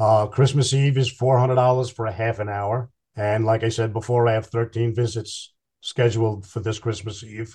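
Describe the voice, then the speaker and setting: A man with a medium pitch and a dark, mellow tone speaks somewhat breathily at a moderate pace. His intonation is monotone and flat over a quiet background. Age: 60s. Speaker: professional Santa. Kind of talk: casual interview chat.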